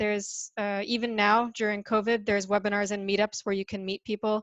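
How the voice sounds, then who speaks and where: Fairly high-pitched and talking at a fairly quick pace, a woman with an American accent is heard in a dry, close sound with no echo and a quiet background. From US, New York. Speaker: startup ecosystem representative. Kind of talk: webinar interview.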